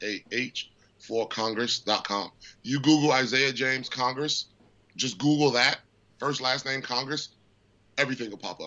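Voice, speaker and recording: This is a normal speaking voice with fairly even intonation. It moves at a fairly slow pace. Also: man. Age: 30s. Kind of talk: interview.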